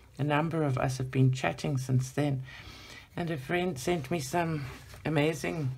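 The speaker keeps a moderate pace. Background noise is noticeable. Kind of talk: casual chatty tutorial. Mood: warm nostalgic reminiscing. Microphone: phone near.

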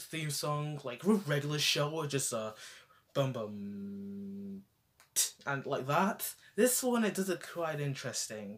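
At a fairly slow pace, a man talks with very wide pitch swings. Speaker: vlogger. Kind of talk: casual review chat about a TV show. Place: home room. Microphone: handheld.

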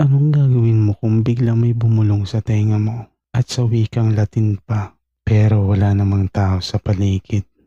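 Somewhat breathy and fairly low-pitched, a man speaks at a moderate pace with a dark, mellow tone and fairly even intonation. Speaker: horror story channel host. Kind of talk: reading a listener's story aloud.

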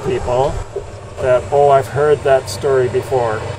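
Against noticeable background noise, a man speaks at a fairly slow pace in a monotone, flat intonation. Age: 60s. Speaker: vlogger. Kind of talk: casual talk to camera. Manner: slow, with long pauses. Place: street. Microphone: earbuds.

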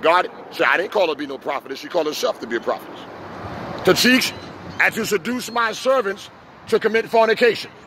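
A man talks at a very fast pace with lively intonation and an animated tone, in a dry sound with no echo and noticeable background noise. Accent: New York. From New York. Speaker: street preacher and pastor; street preacher, pastor. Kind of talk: sermon. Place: street. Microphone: handheld.

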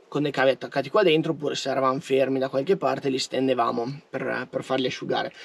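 The man speaks with fairly even intonation. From Trentino, northern Italy. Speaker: van life vlogger. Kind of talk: casual vlog monologue. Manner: informal, chatty.

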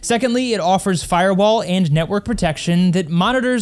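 A man speaks fairly quickly at a high pitch, using ordinary pitch variation. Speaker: tech reviewer. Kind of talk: review commentary. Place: studio. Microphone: studio mic.

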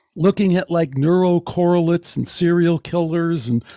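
A man's dark, mellow tone at a moderate pace, in a dry, close sound with no echo. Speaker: podcast host. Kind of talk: podcast interview. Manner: enthusiastic.

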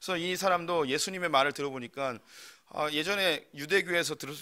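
A man's bright, sharp-toned voice over a quiet background. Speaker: preacher. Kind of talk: sermon. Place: church. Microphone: podium.

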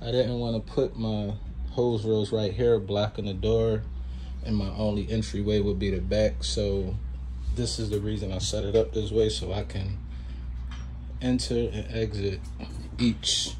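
At a fairly slow pace, a man speaks in a fairly low pitch with little pitch movement.

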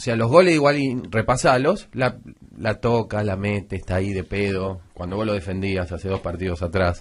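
A man with a Rioplatense accent sounds somewhat breathy, with ordinary pitch variation. The background is quiet. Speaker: sports radio panelist. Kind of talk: heated debate. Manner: fast.

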